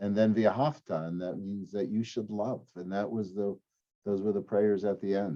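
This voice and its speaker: A man with an ordinary speaking voice talks at a moderate pace and fairly low pitch, with fairly even intonation. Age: 60s. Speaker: rabbi. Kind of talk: casual chat. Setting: podcast.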